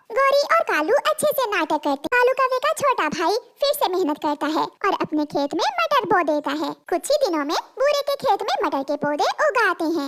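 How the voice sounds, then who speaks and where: A woman puts on a squeaky character voice at an extremely high pitch, swinging very widely in pitch while keeping a moderate pace. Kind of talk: children's cartoon story narration. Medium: cartoon. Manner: calm, even.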